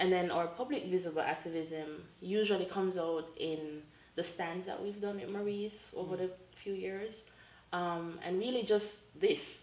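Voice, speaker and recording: A woman speaks at medium pitch with ordinary pitch variation. There is noticeable background noise. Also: moderate pace. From Jamaica. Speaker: LGBTQ activist. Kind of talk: interview answer.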